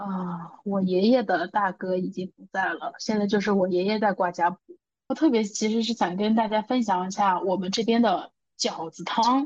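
The delivery keeps a moderate pace, and the pitch varies in an ordinary way. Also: woman. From northern China (Shanxi). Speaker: podcast co-host. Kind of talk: casual chat. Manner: animated.

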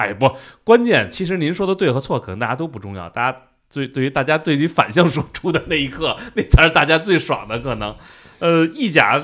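A man with a fairly high pitch and vocal fry talks at a fairly quick pace with very wide pitch swings, on a very clean recording with a silent background. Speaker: football podcast host. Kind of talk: casual chat.

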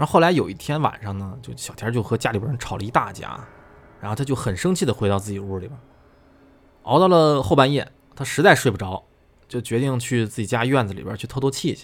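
A man's medium-pitched, animated voice at a very fast pace, with lively intonation and big swings in loudness. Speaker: podcast host reading listener ghost stories. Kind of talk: storytelling, reading listener submissions in casual chat.

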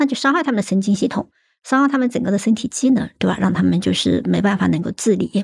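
The delivery is very fast. The background is quiet. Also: woman. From Hunan, China. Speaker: rare disease policy researcher. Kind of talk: casual chat.

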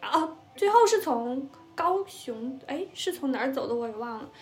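A woman's high voice with lively intonation amid noticeable background noise. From northern China. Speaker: podcast co-host. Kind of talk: casual chat.

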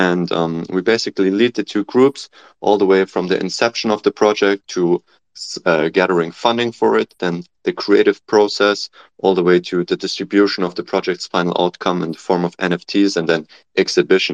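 Speaking at a moderate pace with a German accent, a man uses a very deep, low pitch and ordinary pitch variation, the sound dry and close with no echo. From Germany. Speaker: PhD student and startup founder. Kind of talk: panel discussion.

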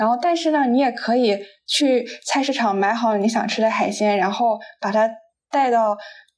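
A woman's ordinary speaking voice, fairly high in pitch, with ordinary pitch variation at a moderate pace. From Qingdao, Shandong, China. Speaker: podcast host (guest on another show). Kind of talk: casual chat. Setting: remote call.

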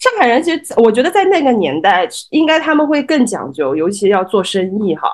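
A woman talks at a fairly quick pace with a fairly high pitch and vocal fry. Her pitch swings very widely. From Shanghai, Changning district. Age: 30s. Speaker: guest co-host. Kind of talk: casual chat.

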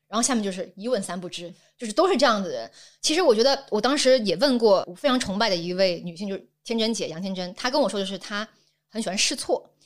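A woman's fairly high voice at a very fast pace, with lively intonation and big swings in loudness. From Guangdong, southern China. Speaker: social media creator and producer. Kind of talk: casual interview chat.

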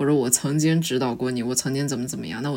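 A woman talks at a very fast pace with lively intonation and vocal fry. Her pitch is very deep and low. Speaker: graduate student. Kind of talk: casual chat.

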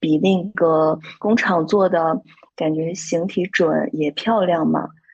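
A woman speaks with music in the background. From Shandong, China. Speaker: handmade plush toy brand founder and designer. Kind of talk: casual interview chat.

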